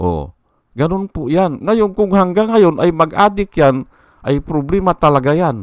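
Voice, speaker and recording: Against a quiet background, a man talks at a fairly slow pace. His pitch swings very widely. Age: 60s. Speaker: vlogger. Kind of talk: political commentary vlog. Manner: halting.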